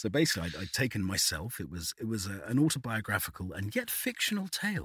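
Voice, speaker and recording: Words come at a very fast pace from a man with a British accent. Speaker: voice artist. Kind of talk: casual chat. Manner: halting, repeats words.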